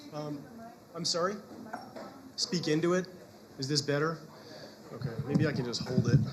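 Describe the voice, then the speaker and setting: Amid noticeable background noise and audible room echo, a man with a fairly high pitch speaks with long, frequent pauses. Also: ordinary pitch variation, moderate pace. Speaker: physician and lecturer. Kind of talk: lecture. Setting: lecture hall with audience, webcast. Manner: halting with fillers.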